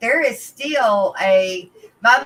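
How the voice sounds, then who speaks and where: The speaker has an Arklatex accent. Delivery is at a very slow pace. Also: woman. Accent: Texas-like Arklatex. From northern Louisiana (Arklatex area). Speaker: aquarium fish breeder and YouTuber. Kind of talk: casual interview chat. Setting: live stream video interview.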